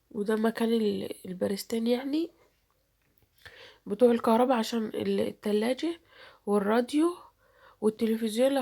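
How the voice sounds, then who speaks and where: A woman speaks at a fairly high pitch with a dark, mellow tone and ordinary pitch variation. Her moderate pace comes through on a very clean recording with a silent background. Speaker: YouTuber. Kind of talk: vlog narration.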